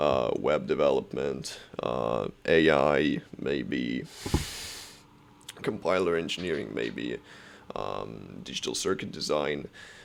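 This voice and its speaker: A man speaks with a non-native accent. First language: not English. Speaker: software developer and student vlogger. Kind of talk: casual tutorial vlog. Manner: halting, many fillers.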